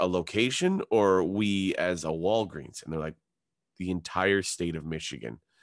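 A man with a Canadian accent, fairly low in pitch, an unremarkable speaking voice at a moderate pace with ordinary pitch variation, against a quiet background. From Ontario, Canada (Hamilton). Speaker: comedian. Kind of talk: casual chat.

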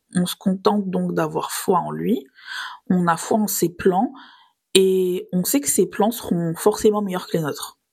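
Somewhat breathy, a woman speaks fairly slowly at a medium pitch with ordinary pitch variation. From southern France, Nice. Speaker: podcast host. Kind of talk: scripted religious reflection podcast.

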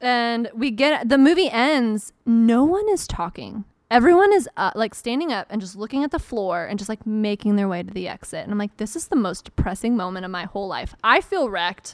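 A woman with an American accent, fairly high pitch and lively intonation, at a fairly quick pace with hardly any pauses, on a very clean recording with a silent background. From US South, Atlanta area (Marietta). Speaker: podcast guest. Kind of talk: casual chat. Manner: animated.

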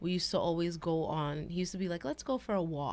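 In an unremarkable speaking voice, a woman speaks at a fairly low pitch with ordinary pitch variation. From US, Haitian family. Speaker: podcast co-host. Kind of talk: casual chat.

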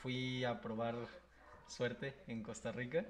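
Very slow, medium-pitched speech from a man, amid noticeable background noise and audible room echo. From Comitán, Chiapas, Mexico. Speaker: podcast guest, student. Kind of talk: casual chat.

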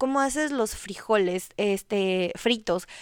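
It is a very clean recording, with a silent background. The pitch shows ordinary variation. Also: woman, dry, close sound with no echo. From Ecuador. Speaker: podcast host. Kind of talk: solo podcast monologue on marriage.

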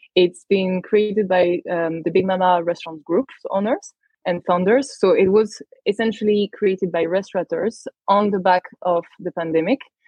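With a French accent, a woman talks at a moderate pace and medium pitch, keeping her intonation fairly even. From France, Paris. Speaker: tech company manager. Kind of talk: podcast interview.

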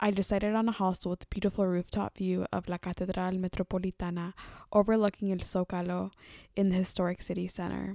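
A woman with an American accent talks very fast in a medium-pitched, dark, mellow tone. The recording is very clean, with a silent background. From US West Coast, Oakland, California. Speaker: podcast host. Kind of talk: scripted monologue. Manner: enthusiastic.

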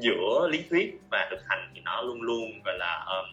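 A man talking at a fairly slow pace, music in the background. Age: 20s. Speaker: marketing professional, master's student. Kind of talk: interview.

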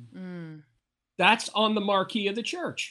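A man's voice is raised and projected, high in pitch. His tone comes across bright and sharp. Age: 60s. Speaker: motivational speaker and comedian. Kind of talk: interview.

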